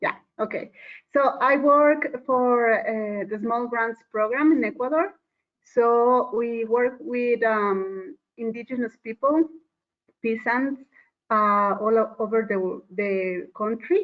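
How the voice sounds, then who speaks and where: A woman's fairly high voice with a Spanish accent, ordinary pitch variation, and a very slow pace. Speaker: conservation program worker. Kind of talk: online panel discussion. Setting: video call. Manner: hesitant. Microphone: microphone problems.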